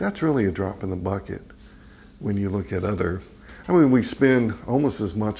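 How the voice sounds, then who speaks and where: A man speaks at a fairly low pitch and a fairly quick pace. His voice shows vocal fry and ordinary pitch variation. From West Texas. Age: 60s. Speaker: nonprofit executive director. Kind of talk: interview. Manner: casual, hesitant with fillers.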